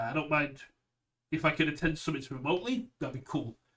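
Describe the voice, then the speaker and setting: A man with a British accent has a bright, sharp tone and a fairly high pitch. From United Kingdom. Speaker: card game streamer. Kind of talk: casual chat.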